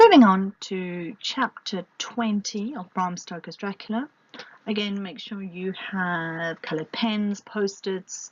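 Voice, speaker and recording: With a British accent, a woman of medium pitch speaks fairly slowly in a somewhat breathy voice. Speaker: literature teacher. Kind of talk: lecture. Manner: hesitant, many fillers.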